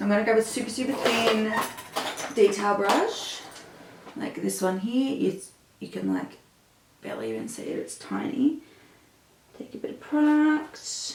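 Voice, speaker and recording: The voice swings widely in loudness, with long, frequent pauses, noticeable background noise, and audible room echo. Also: woman, moderate pace. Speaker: makeup artist. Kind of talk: makeup tutorial. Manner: casual, chatty.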